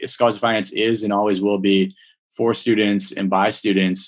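At a moderate pace, a man with an American accent talks in a fairly low pitch, an ordinary speaking voice. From Minnesota. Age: 30s. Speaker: finance professional. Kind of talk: interview. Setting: call.

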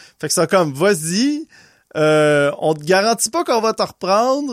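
Dry and close with no echo, a man talks very slowly while his pitch swings very widely. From Quebec (Laval, near Montreal). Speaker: podcast guest, musician and brewer. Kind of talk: casual chat.

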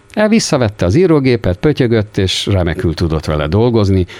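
A man talks in very wide pitch swings while noticeable background noise runs underneath. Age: 60s. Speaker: typewriter and calculator repairman. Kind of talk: interview. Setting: small workshop.

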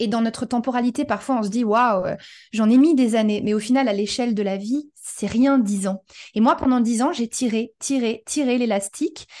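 A woman with an ordinary speaking voice, fairly high in pitch, at a moderate pace with ordinary pitch variation, against a quiet background. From France. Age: 30s. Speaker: human design coach, former restaurant operations director. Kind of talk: casual interview.

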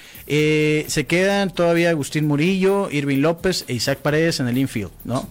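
On a very clean recording with a silent background, a man with a normal speaking voice talks at a moderate pace with a fairly high pitch, ordinary pitch variation and very even loudness. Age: 40s. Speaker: sports radio host. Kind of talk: casual chat. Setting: studio.

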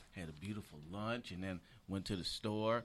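A bright, sharp tone at a moderate pace, with ordinary pitch variation, on a very clean recording over a silent background. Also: man. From Michigan, Detroit. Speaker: comedian. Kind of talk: casual chat.

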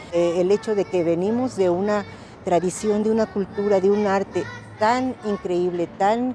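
A woman at a medium pitch with ordinary pitch variation, a fairly slow pace and noticeable background noise. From Mexico City. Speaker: museum staff. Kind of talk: interview.

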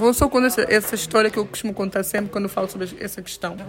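A woman speaks over noticeable background noise. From São Tomé and Príncipe, moved to Portugal around age 10. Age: 20s. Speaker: women's rights activist and entrepreneur. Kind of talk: interview.

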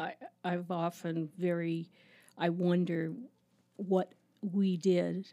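A woman speaks very slowly in a fairly low voice. Her tone is dark and mellow, with flat, monotone intonation. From Canada, Toronto suburbs. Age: 60s. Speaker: administrative assistant at a youth ministry. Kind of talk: interview, personal testimony.

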